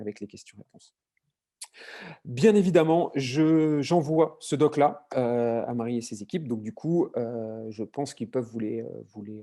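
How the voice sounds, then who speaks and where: A man talks with ordinary pitch variation. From southern France. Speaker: marketing consultant. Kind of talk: webinar presentation. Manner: fast; hesitant, many fillers.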